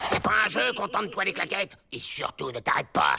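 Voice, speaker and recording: A cartoonish character voice at a fairly quick pace. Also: man, high pitch for a man. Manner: bossy, scheming.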